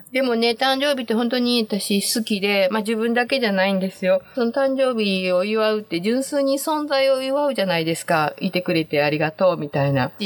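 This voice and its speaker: Her pitch fairly high and swinging very widely, a woman speaks at a fairly quick pace. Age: 60s. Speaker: podcast host. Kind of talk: casual monologue. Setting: home closet. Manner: cheerful, laughing often.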